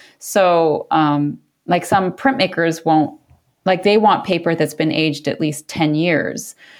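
A woman's fairly low voice with a General American accent, fairly slow pace, on a very clean recording with a silent background. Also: ordinary pitch variation. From US, New York-born to Korean immigrant parents. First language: Korean. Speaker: paper maker and artist. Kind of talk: casual interview.

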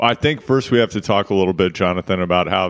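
Very deep and low in pitch, a man with an American accent speaks at a fairly quick pace. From US Midwest, Kansas City, Missouri. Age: 40s. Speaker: cycling journalist and podcast host. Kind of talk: casual interview. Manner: animated.

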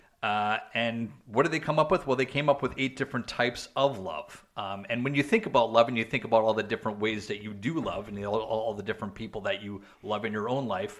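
This is an ordinary speaking voice, moving at a fairly quick pace with ordinary pitch variation. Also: man. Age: 40s. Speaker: podcast host. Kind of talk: casual chat.

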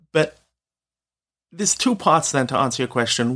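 A man talks with a British accent. The recording is very clean, with a silent background. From Britain. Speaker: former day school teacher, anonymous author. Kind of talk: interview answers.

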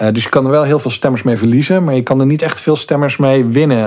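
Noticeable noise runs in the background. The speaker is a man. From Zeeland, Netherlands (Goes). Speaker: investigative journalist. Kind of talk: podcast interview.

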